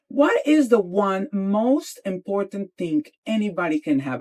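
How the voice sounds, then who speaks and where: A woman with a Spanish accent sounds animated, her pitch swinging very widely. The sound is dry and close, with no echo. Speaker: interior designer. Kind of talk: podcast interview. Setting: in a van.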